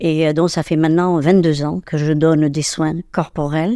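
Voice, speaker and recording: A woman's fairly low, dark, mellow voice with fairly even intonation, in a dry, close sound with no echo. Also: very clean recording, silent background. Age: 70s. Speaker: holistic therapist and medium. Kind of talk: interview. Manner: hesitant, many fillers.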